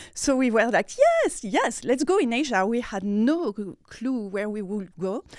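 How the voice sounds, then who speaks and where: A woman with a French accent and a fairly high pitch speaks at a fairly slow pace, in a very clean recording with a silent background and a dry, close sound with no echo. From France, Nice. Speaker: PR manager. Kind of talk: interview. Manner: halting.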